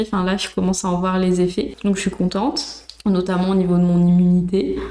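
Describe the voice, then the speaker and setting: A woman with a medium pitch speaks at a moderate pace against noticeable background noise. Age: 30s. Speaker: instagram content creator. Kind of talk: interview.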